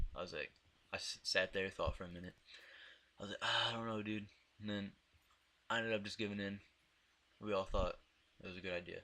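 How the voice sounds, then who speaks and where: A man talks at a very fast pace but breaks it with long, frequent pauses. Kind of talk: casual storytime talk over gameplay. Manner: stuttering.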